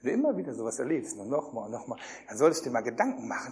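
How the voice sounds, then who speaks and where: A man talks in an animated tone. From Germany. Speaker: youth pastor / preacher. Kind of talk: sermon. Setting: youth camp with live audience.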